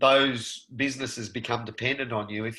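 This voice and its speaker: A man with an Australian accent, very fast pace and a bright, sharp tone. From rural Victoria, Australia. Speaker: actor. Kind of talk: interview answer. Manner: casual, conversational.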